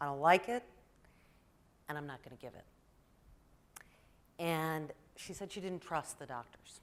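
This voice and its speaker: A woman with a very deep, low voice speaks with long, frequent pauses and big swings in loudness. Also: ordinary pitch variation, moderate pace. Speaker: primary care pediatrician. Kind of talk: presentation talk.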